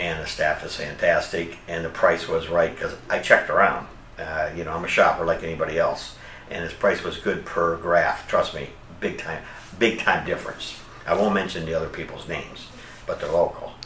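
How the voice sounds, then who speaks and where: Over noticeable background noise and audible room echo, a man talks at a moderate pace with big swings in loudness. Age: 60s. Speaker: hair transplant patient. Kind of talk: testimonial. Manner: casual, chatty with fillers.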